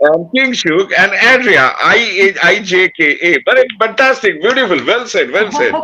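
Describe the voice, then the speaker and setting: A man speaks in a raised, projected voice with an Indian accent. His intonation is lively. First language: Bengali. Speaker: podcast co-host. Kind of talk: casual chat.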